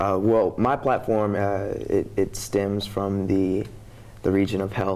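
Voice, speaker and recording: With an American accent, a man speaks at a fairly slow pace in a fairly low pitch, his intonation monotone and flat. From Texas, Houston. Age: 20s. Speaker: college student, pageant contestant; guest. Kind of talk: interview. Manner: halting. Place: studio. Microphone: lapel.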